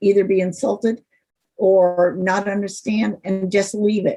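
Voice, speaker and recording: Speaking with an American accent, a woman uses a medium-pitched, somewhat breathy voice with a dark, mellow tone, fairly even intonation, and a fairly slow pace. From Cleveland, Ohio. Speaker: consultant and workshop presenter. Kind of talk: lecture.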